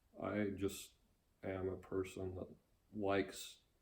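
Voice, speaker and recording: A man's voice, very deep and low in pitch, comes across somewhat breathy. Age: 60s. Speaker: interviewee, grandfather. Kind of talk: interview. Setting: at home.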